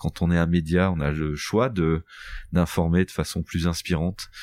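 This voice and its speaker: On a very clean recording with a silent background, a man speaks in a very deep, low voice with fairly even intonation, the sound dry and close with no echo. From northern France, Boulogne-sur-Mer area. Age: 40s. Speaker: entrepreneur, company founder. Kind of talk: podcast interview.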